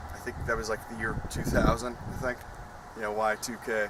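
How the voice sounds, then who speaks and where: Here a man speaks with an American accent. He keeps a moderate pace over noticeable background noise. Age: 20s. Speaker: YouTuber telling life story. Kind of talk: personal storytelling vlog. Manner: casual with frequent fillers.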